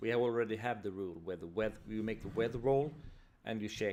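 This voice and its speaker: Fairly low in pitch, a man talks with a non-native accent. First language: not English. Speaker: tabletop RPG designer streamer. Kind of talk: live stream, casual solo talk. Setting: live stream. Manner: halting, many repetitions and fillers.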